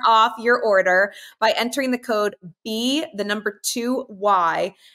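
A woman speaks very slowly at a fairly high pitch, her tone bright and sharp, on a very clean recording with a silent background. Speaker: podcast host and former athlete. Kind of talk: casual interview chat.

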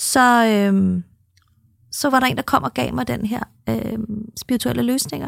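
The pace is very slow, with long, frequent pauses. The sound is dry and close, with no echo. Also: woman. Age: 50s. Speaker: podcast co-host and spiritual coach. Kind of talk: casual chat.

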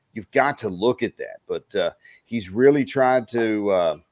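The speaker is a man. He talks with a Texan accent. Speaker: play-by-play announcer. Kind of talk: sports commentary.

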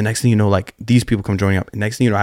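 A man talks at a fairly low pitch on a very clean recording with a silent background. The sound is dry and close, with no echo. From Colorado. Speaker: singer-songwriter. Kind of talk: casual chat.

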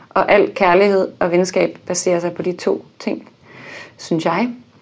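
This woman has a normal speaking voice with fairly low pitch. Her pitch varies in an ordinary way. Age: 30s. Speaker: baking show winner, architect and blogger. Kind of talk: casual chat. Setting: studio.

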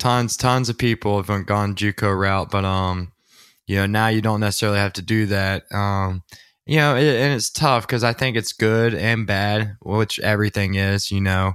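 A normal speaking voice with an American accent, moderate pace and fairly even intonation, on a very clean recording with a silent background. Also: man, fairly low pitch for a man. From US South, Georgia. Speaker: podcast host, former football quarterback. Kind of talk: casual chat.

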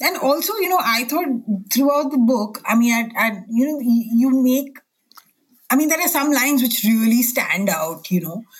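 Pausing long and often, a woman talks at a fairly slow pace with high pitch and very wide pitch swings. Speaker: books editor, podcast host. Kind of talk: interview.

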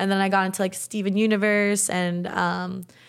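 A woman in an American accent with an unremarkable speaking voice, medium pitch, moderate pace, in a very clean recording with a silent background. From US South, South Florida (Boca Raton). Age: 20s. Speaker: artist and YouTuber. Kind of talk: casual chat.

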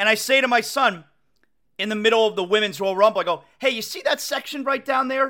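In a very clean recording with a silent background, a man uses a raised, projected voice that is extremely high in pitch, animated, bright and sharp in tone. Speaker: sports radio host. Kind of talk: casual chat. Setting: home studio. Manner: loud.

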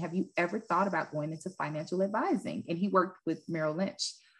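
A woman with a Southern US accent, fairly low-pitched, very fast, with ordinary pitch variation. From US South, West Memphis, Arkansas. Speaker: former pro basketball player, business owner. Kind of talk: interview.

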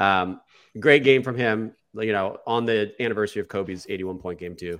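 A man speaks at a fairly quick pace in a plain, everyday voice, fairly low in pitch with ordinary pitch variation. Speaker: podcast host. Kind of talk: casual sports podcast discussion. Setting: video call recording.

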